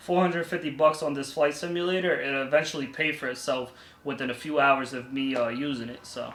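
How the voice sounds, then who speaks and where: A man with a plain, everyday voice talks at a fairly quick pace, with ordinary pitch variation. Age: 30s. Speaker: vlogger, student pilot. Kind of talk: vlog tutorial. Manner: casual.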